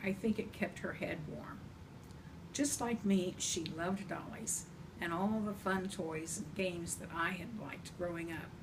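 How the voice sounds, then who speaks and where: The speech comes at a fairly slow pace with ordinary pitch variation, along with audible room echo and noticeable background noise. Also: woman. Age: 70s. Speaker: grandmother storyteller. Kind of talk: reading aloud. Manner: gentle.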